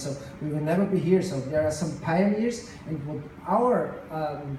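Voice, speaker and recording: A man with a non-native accent speaks with ordinary pitch variation. Audible room echo and noticeable background noise are present. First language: not English. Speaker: tech company co-founder. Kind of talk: conference speech. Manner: halting.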